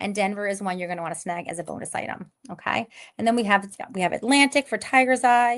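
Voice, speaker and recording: A woman speaks at a fairly quick pace with a slight New York accent. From Long Island, New York. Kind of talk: live sales pitch. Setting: live stream. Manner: fast.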